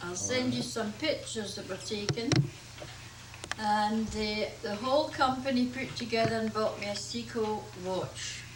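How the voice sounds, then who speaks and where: A woman with a Scottish accent at a fairly slow pace, with audible room echo and noticeable background noise. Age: 70s. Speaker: grandmother in home video. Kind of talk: casual chat.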